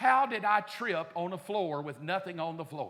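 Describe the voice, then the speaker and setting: A man with an American accent uses a raised, projected voice with ordinary pitch variation. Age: 50s. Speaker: pastor. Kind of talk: sermon. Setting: church. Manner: animated.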